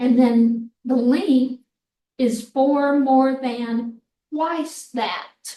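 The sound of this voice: A woman's high-pitched voice, dark and mellow in tone, at a very slow pace. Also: fairly even intonation.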